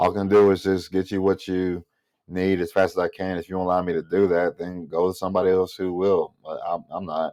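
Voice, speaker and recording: A man with an American accent speaks at a fairly quick pace in a very deep, low pitch. His tone is dark and mellow, and the background is quiet. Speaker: vlogger and restaurant server. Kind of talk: casual monologue vlog. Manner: animated.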